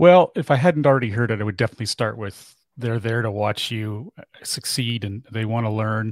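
Speaking at a fairly quick pace, a man has an ordinary speaking voice at a medium pitch with ordinary pitch variation, recorded very cleanly with a silent background and a dry, close sound with no echo. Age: 40s. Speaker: business owner and podcaster. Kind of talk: interview.

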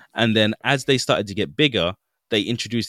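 A man with a British accent is heard in a very clean recording, silent background, with a dry, close sound with no echo. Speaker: podcast host. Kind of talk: casual banter podcast.

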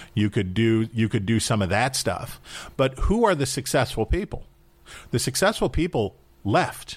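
In a normal speaking voice, a man speaks at a medium pitch with an American accent. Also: very clean recording, silent background. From West Virginia, Wheeling. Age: 40s. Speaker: political commentator. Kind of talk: interview.

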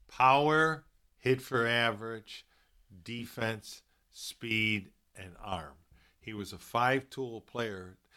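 A man with a bright, sharp tone and medium pitch talks at a very slow pace with long, frequent pauses, ordinary pitch variation and big swings in loudness, in a very clean recording with a silent background. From Chicago, South Side. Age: 60s. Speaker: baseball fan and former college player. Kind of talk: casual chat.

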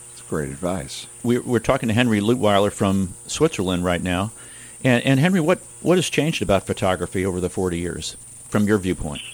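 A man with a normal speaking voice and a fairly low pitch talks at a fairly quick pace, with lively intonation and big swings in loudness. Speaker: radio host. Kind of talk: radio interview.

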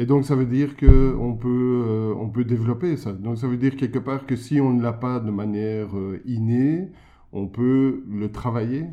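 A man with a plain, everyday voice talks at medium pitch and a fairly slow pace, keeping his intonation fairly even. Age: 50s. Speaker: podcast host and entrepreneur. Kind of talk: interview.

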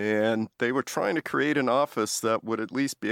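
In an ordinary speaking voice, a man talks at a moderate pace with fairly low pitch and ordinary pitch variation, the sound dry and close with no echo in a very clean recording with a silent background. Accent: American. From US Northeast (Massachusetts). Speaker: professor. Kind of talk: interview.

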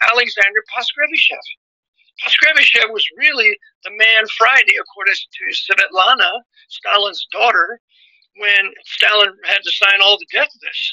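A man's raised, projected voice at an extremely high pitch, dry and close with no echo, with big swings in loudness, ordinary pitch variation and a moderate pace. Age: 70s. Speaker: author, pastor and teacher. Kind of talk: interview. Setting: phone call.

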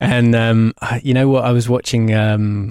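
The man, in an English accent, talks at a moderate pace with a fairly low pitch and a monotone, flat intonation, in a dry, close sound with no echo. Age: 30s. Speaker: motion designer. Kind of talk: interview. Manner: halting.

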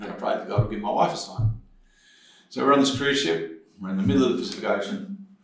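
A man at a medium pitch races along at a very fast pace with very wide pitch swings, over noticeable background noise. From New Zealand, South Auckland. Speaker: former police officer, addiction recovery ministry leader. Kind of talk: testimony. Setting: studio.

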